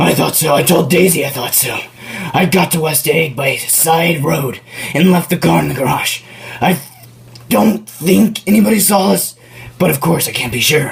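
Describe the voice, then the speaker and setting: A man puts on a raspy character voice pitched fairly high, with lively intonation and long, frequent pauses. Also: moderate pace. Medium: stage play. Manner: formal, earnest.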